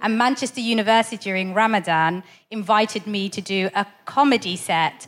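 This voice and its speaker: At a fairly quick speed, an ordinary speaking voice carries ordinary pitch variation. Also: woman, fairly high pitch for a woman. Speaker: comedian. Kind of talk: stand-up. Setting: stage with audience.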